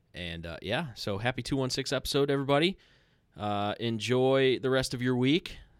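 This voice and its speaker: In a very clean recording with a silent background, a man talks at a moderate pace in an ordinary speaking voice, medium in pitch with lively intonation. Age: 30s. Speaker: podcast host. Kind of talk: casual chat.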